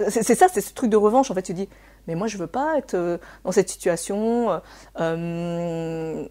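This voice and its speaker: A woman speaks at a fairly slow pace in a medium-pitched, dark, mellow voice with ordinary pitch variation and big swings in loudness, on a very clean recording with a silent background. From France, raised by Chinese immigrant parents. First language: Cantonese (speaking French). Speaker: therapist. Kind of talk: interview. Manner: hesitant, many fillers.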